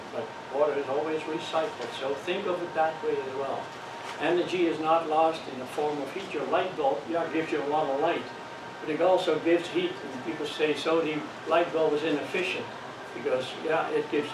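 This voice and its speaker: A man with a Dutch accent, fairly high in pitch, in a monotone, flat intonation, with audible room echo and noticeable background noise. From Netherlands. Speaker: ham radio course instructor. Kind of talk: lecture.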